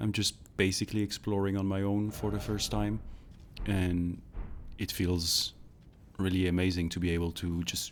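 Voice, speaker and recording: This man has a very deep, low pitch and a non-native accent. He talks in a monotone with flat intonation. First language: not English. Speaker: gaming YouTuber. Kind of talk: gameplay voice-over commentary. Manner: halting.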